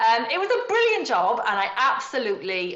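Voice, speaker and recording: A woman with a Yorkshire accent at a moderate pace. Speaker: wedding celebrant and trainer. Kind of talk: podcast interview.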